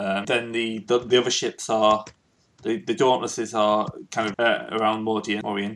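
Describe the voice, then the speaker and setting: A man with a plain, everyday voice speaks at a medium pitch and a moderate pace. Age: 20s. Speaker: game master of tabletop roleplaying game. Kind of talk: tabletop game session, casual.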